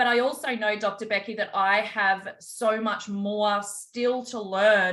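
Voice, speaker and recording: An Australian accent, bright and sharp in tone, with fairly even intonation. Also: woman. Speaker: holistic health practitioner and call host. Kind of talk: online group call hosting, interview.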